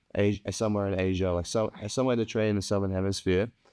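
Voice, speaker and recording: With an Australian accent, a man speaks in a dark, mellow tone at fairly low pitch with monotone, flat intonation against a quiet background. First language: Punjabi. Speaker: podcast co-host. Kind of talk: casual chat.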